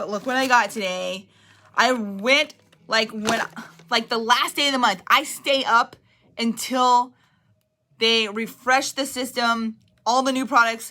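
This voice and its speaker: Loud and fairly high-pitched, a woman speaks at a fairly slow pace in a bright, sharp tone with fairly even intonation and long, frequent pauses. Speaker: direct sales team leader. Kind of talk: livestream motivational talk.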